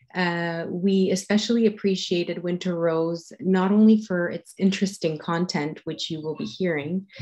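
A woman with a French accent, her fairly low, dark and mellow voice at a moderate pace with fairly even intonation and hardly any pauses. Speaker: contest jury member. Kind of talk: introduction of a speaker. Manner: halting, many fillers.

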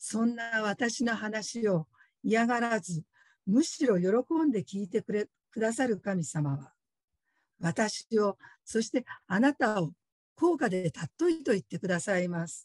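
Pausing long and often, a woman talks at a fairly slow pace in a fairly high, somewhat breathy voice with very wide pitch swings, the sound dry with no echo and the background quiet. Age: 50s. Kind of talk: testimony. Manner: polite, formal. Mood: earnest, reflective. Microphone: video call.

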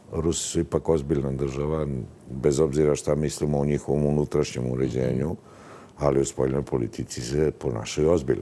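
A man with a very deep, low pitch and a dark, mellow tone talks at a fairly quick pace, his intonation monotone and flat and his loudness very even. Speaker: journalist guest. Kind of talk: interview answer. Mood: critical, skeptical. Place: studio. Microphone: lapel.

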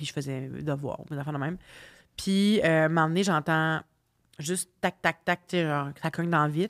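With a Quebec accent, a woman speaks fairly quickly in a very deep, low pitch with ordinary pitch variation against a quiet background. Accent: Québécois French. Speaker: singer and podcast host; podcast host. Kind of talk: casual chat. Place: home room. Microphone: studio mic.

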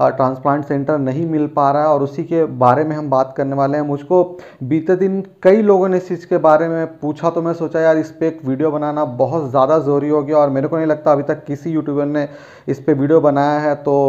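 Against a quiet background, a man speaks in a flat monotone at a moderate pace. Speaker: vlogger sharing hair transplant experience. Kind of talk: casual vlog chat. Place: home room. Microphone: phone near.

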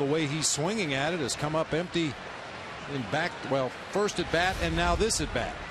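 With ordinary pitch variation, a man speaks while noticeable background noise carries on. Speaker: baseball color commentator, former player. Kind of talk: analytical live sports color commentary. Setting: broadcast booth at ballpark. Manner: relaxed, conversational, occasional fillers.

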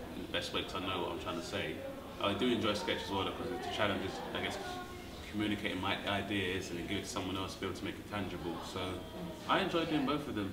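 Clear music plays in the background. A man speaks over it at a very fast pace with ordinary pitch variation. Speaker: comedian being interviewed. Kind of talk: interview answer. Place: home room.

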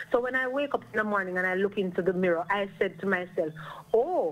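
The pace is very fast for this female speaker. She uses lively intonation. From Jamaica. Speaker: psychologist and guidance counselor; radio show guest or host. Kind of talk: radio talk show discussion. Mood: earnest, advising. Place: studio.

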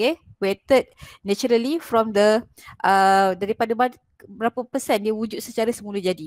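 A woman talks at a moderate pace with ordinary pitch variation, in a dry sound with no echo and a quiet background. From Malaysia. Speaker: chemistry lecturer. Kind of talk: online lecture / tutorial. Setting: video call with screen share. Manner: explanatory, code-switching between Malay and English. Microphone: headset.

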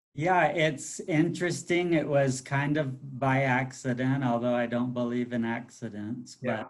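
At a fairly slow pace, a man with a fairly high voice speaks over a quiet background. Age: 50s. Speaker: school superintendent. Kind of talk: live video interview. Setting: video call. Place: office. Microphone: video call.

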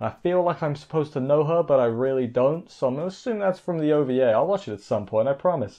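With hardly any pauses, a man speaks at a very fast pace over a quiet background. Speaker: anime reviewer. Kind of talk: commentary. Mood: casual, joking.

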